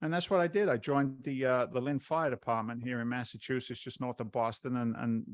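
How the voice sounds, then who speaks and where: With an American accent, a man of medium pitch speaks at a moderate pace with ordinary pitch variation over a quiet background. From England (London). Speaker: real estate investor and former firefighter. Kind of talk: podcast interview. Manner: halting, many repetitions.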